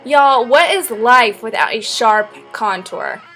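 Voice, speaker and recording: A woman's playful tone over music in the background. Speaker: makeup artist. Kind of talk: tutorial. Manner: casual, playful.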